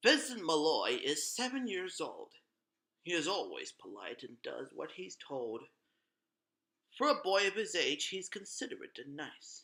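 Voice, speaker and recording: Using a put-on character voice, a man talks at a moderate pace with a high pitch and long, frequent pauses. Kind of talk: gothic horror narration. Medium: read story. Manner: dramatic, ominous.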